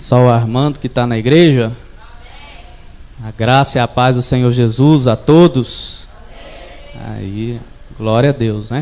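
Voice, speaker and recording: Over noticeable background noise, a man talks at a very slow pace with long, frequent pauses, a medium pitch and fairly even intonation. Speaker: evangelist preacher. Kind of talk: sermon. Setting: church. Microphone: echo on the sound system.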